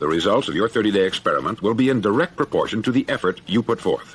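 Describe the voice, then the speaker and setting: A man with an American accent at a medium pitch, very fast in pace, with lively intonation. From United States. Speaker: radio host. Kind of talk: motivational speech.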